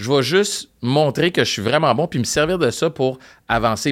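Against a silent background on a very clean recording, a man with an ordinary speaking voice speaks at a fairly high pitch with lively intonation. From Montreal, Quebec (Park Extension). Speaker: radio host and podcaster. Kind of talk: casual chat. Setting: studio.

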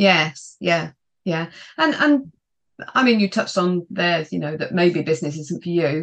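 With a British accent, a woman talks at a fairly slow pace in a fairly low pitch, her intonation lively. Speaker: podcast host. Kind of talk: interview, business podcast chat. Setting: video call.

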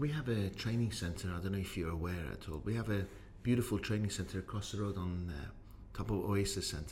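A man's somewhat breathy, fairly low voice with audible room echo. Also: ordinary pitch variation, fairly quick pace. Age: 50s. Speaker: podcast host and business owner. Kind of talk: interview.

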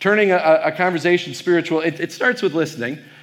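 With an American accent, a man talks at a very fast pace in a high pitch, using ordinary pitch variation. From Wisconsin. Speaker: pastor and professor. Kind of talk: keynote talk to youth audience. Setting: stage with audience. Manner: casual with frequent fillers.

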